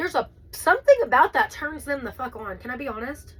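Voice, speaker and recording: Speaking at a fairly quick pace, a woman uses a high pitch and lively intonation, with noticeable background noise behind her. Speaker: tarot reader. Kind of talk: tarot reading. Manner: fast; loud.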